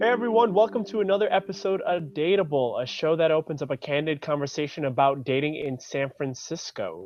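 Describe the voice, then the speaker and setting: Music plays behind a man with a fairly high pitch and lively intonation. He talks at a fairly quick pace with hardly any pauses. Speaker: podcast co-host. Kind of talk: casual chat.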